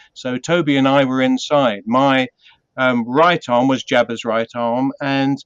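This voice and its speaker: Fairly even intonation in a British accent. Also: man, dry, close sound with no echo. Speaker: puppeteer. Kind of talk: interview. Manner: hesitant, many fillers.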